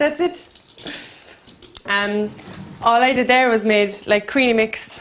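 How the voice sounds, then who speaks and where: Over noticeable background noise, a woman with an Irish accent speaks at a very slow pace and at a very even loudness. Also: fairly high pitch for a woman, ordinary pitch variation. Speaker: cook. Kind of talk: casual cooking chat. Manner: quiet.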